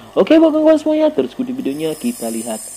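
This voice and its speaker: Noticeable background noise surrounds a man talking in an Acehnese accent. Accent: Acehnese accent in Indonesian. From Aceh, Indonesia. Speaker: gemstone polisher, YouTuber. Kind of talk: tutorial with commentary. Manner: animated.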